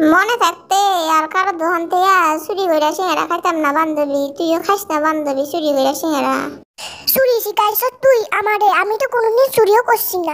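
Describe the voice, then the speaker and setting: An extremely high-pitched, cartoonish character voice that sounds female, at a moderate pace. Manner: chatty, dialectal.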